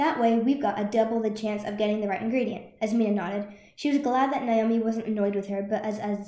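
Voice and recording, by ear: Fairly even intonation runs through this clip of reading aloud in a natural voice.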